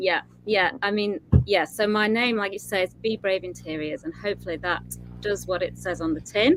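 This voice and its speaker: The speaker is a woman. She has a Yorkshire accent. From northern England, Yorkshire. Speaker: interior designer. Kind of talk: interview with presentation.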